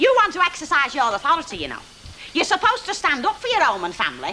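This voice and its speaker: Speaking at a very fast pace in a raised, projected voice, a woman hits an extremely high pitch with very wide pitch swings over noticeable background noise. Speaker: drama character, housewife. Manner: loud, quarrelsome.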